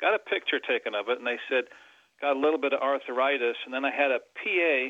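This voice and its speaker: A man's normal speaking voice at medium pitch, fairly quick, with ordinary pitch variation. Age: 60s. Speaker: caller. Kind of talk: phone-in call.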